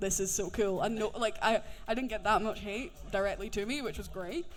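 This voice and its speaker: High-pitched man at a fairly quick pace, ordinary pitch variation, audible room echo. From Scotland, working-class Edinburgh. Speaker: voice actor. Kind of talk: fan Q&A panel. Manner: enunciating carefully.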